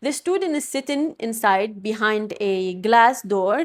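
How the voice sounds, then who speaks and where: A woman with a non-native accent and very wide pitch swings, in a very clean recording with a silent background. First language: not English. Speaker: podcast host. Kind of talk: solo podcast monologue.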